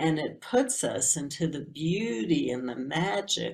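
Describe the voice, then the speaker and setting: Speech comes at a very slow pace amid noticeable background noise. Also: woman. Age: 60s. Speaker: shamanic teacher. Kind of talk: talk to camera. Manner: hesitant, many fillers.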